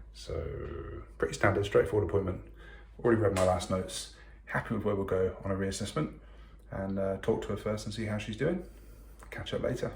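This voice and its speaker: A man whispers in a put-on character voice. It is raspy and comes at a fairly quick pace. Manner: whispering.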